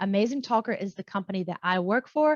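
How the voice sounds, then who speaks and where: Against a quiet background, a woman with an American accent speaks at a fairly high pitch with lively intonation, in a dry, close sound with no echo. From US South, North Carolina. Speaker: online English teacher and YouTuber. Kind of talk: tutorial. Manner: casual.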